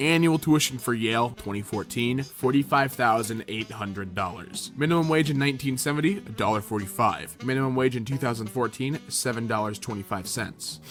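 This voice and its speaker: Over music in the background, a man with a medium pitch and ordinary pitch variation talks at a fairly quick pace with hardly any pauses. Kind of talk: opinion rant to camera.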